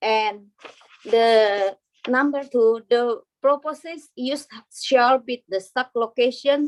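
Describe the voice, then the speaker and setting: Speaking at a very slow pace with a non-native accent, a woman uses a high pitch with ordinary variation, her sound dry and close with no echo. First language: not English. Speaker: business applicant. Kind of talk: reading aloud. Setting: video call. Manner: halting.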